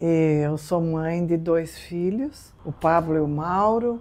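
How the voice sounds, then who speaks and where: Over a quiet background, a woman with a dark, mellow tone speaks very slowly at a fairly low pitch, her intonation lively. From southern Brazil, Rio Grande do Sul. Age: 60s. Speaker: business owner. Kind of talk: interview.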